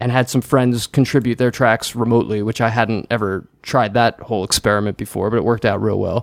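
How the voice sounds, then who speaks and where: Recorded dry and close with no echo, a man with an American accent talks at a medium pitch with fairly even intonation in an unremarkable speaking voice. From New Jersey, US. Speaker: singer-songwriter. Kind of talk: casual interview chat.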